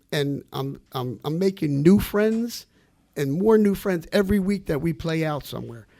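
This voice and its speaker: Speaking with a New Jersey accent, a man with a high pitch and a dark, mellow tone moves at a fairly slow pace with lively intonation. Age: 60s. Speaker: musician. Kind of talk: radio interview.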